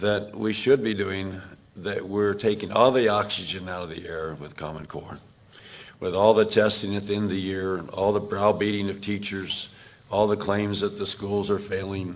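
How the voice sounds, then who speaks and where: The delivery is monotone and flat at a moderate pace. Loudness swings widely, and room echo is audible. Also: man, fairly low pitch for a man. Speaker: education speaker at a town hall. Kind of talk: town hall Q&A answer.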